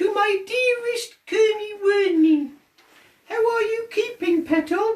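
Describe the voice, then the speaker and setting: The put-on character voice moves at a fairly slow pace. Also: female-sounding voice, extremely high pitch for a woman. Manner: warm, affectionate, old-fashioned.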